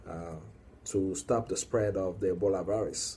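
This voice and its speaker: A somewhat breathy man's voice, fairly low in pitch. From Congo. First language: French or Lingala/Swahili. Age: young. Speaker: activist. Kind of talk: video monologue. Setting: working late, recorded alone. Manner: halting.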